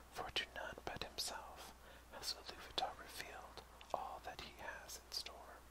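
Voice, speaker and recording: A man whispering at a fairly slow pace, with noticeable background noise. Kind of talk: whispered audiobook-style reading of a fantasy text (ASMR). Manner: whispered.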